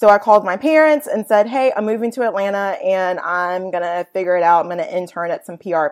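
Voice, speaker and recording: Someone with an American accent talks at a fairly quick pace with ordinary pitch variation against a quiet background. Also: woman. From Virginia, US. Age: 30s. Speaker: nonprofit co-founder and blogger. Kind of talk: interview. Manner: casual with frequent fillers.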